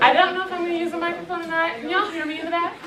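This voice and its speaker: A woman's raised, projected voice at an extremely high pitch, with audible room echo and crowd noise in the background. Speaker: conference speaker. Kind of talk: motivational talk with dance warm-up.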